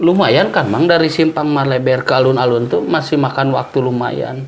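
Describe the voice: A man speaks at medium pitch and a moderate pace, with ordinary pitch variation and vocal fry. Audible room echo surrounds his voice.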